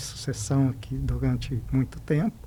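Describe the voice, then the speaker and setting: A man's dark, mellow voice with a fairly high pitch, ordinary pitch variation and a fairly slow pace. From Paraná, Brazil (Paranavaí). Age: 70s. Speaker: business leader and credit cooperative chairman. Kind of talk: interview podcast conversation.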